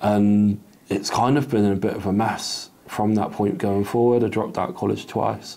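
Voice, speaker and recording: A man's dark, mellow tone at a fairly low pitch, with a moderate pace and fairly even intonation. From Torquay, Devon, England; England. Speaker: survivor sharing life story; interviewee. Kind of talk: testimony. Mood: reflective, earnest. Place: home room. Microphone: lapel.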